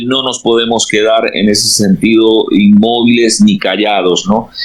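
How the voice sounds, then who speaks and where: A man with a Peruvian accent speaks at a medium pitch with ordinary pitch variation, and there is noticeable background noise. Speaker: pastor. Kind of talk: interview.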